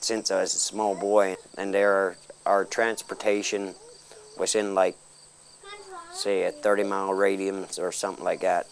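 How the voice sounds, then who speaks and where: Speaking at a fairly slow pace with an American accent, a man leaves long, frequent pauses against light background noise. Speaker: apprentice auctioneer. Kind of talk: interview answer. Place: farm. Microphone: lapel.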